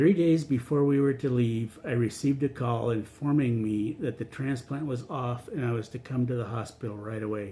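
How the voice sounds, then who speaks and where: A man with an unremarkable speaking voice talks at a moderate pace with hardly any pauses. His pitch is medium, with ordinary pitch variation. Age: 60s. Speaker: cancer patient. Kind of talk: reading aloud; testimony.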